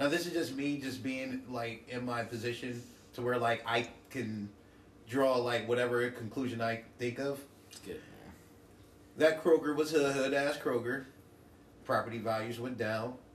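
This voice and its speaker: A man with an American accent speaks at a moderate pace and medium pitch, his intonation fairly even but his loudness swinging widely, with long, frequent pauses, audible room echo and noticeable background noise. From New Jersey. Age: 30s. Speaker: rapper. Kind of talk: casual chat.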